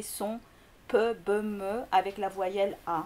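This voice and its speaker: A speaker with a Korean accent talks in a dark, mellow tone. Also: woman. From Greece, Korean family. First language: Korean (speaking French). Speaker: linguistics lecturer. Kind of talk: interview. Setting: school. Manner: halting, many fillers.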